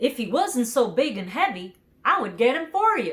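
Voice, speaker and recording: In a put-on character voice, a woman speaks high in pitch with very wide pitch swings at a moderate pace. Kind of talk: bedtime story. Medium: read story.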